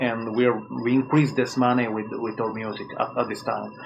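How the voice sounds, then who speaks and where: A man speaks with a non-native accent at a medium pitch. His pace is moderate, with noticeable background noise behind him. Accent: non-native English, self-taught. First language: Italian. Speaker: musician. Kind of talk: interview. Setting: phone call. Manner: halting.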